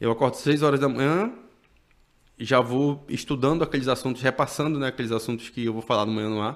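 The words come at a very fast pace, with pitch that varies in an ordinary way. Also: man, medium pitch for a man, very clean recording, silent background. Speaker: journalist and TV news presenter. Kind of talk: casual interview chat.

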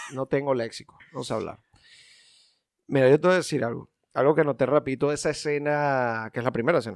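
Pausing long and often, a man with a fairly high pitch and fairly even intonation is heard on a very clean recording with a silent background, the sound dry and close with no echo. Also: fairly quick pace. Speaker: film podcast co-host. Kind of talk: casual chat.

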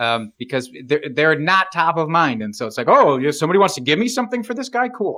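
A man's voice leaps through very wide pitch swings with a bright, sharp tone. The recording is very clean, with a silent background. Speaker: fantasy football podcast co-host. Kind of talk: casual chat. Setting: recording while drinking beer.

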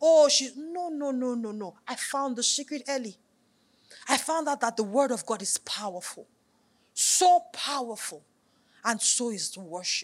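Against a silent background in a very clean recording, a woman talks at a moderate pace with a high, animated voice. Her intonation is lively, her loudness swings widely, and she leaves long, frequent pauses. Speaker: pastor. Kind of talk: sermon with worship exhortation; fervent prayer, leading the congregation in tongues. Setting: church. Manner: urgent, intense, commanding; animated, fervent.

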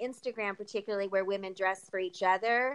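A woman with an American accent speaks in a plain, everyday voice. Her pitch is medium, with ordinary pitch variation. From California. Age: 40s. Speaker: podcast host. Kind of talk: casual interview chat.

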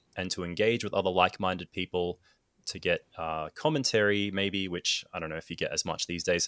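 With an Australian accent, a man speaks at a moderate pace in a very clean, dry, close recording with a silent background and no echo. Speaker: photographer and filmmaker. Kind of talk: casual chat.

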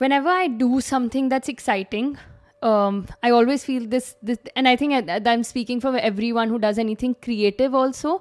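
Her pitch high and ordinarily varied, a woman speaks at a moderate pace. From India. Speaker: travel content creator. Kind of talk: casual chat.

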